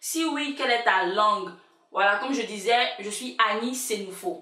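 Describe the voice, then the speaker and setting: In an audible room echo, a woman with an Ivorian accent speaks at a fairly slow pace and a fairly high pitch, her tone animated, her intonation lively, and her loudness swinging widely. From Ivory Coast, Abidjan. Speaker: YouTuber. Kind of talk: casual vlog chat.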